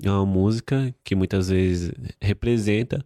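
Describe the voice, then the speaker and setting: Using a normal speaking voice, a man speaks fairly slowly at a fairly low pitch with fairly even intonation, in a very clean recording with a silent background and a dry, close sound with no echo. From Brazil, São Paulo (Itaquera, east side periphery). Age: 20s. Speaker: fashion model. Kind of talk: casual chat.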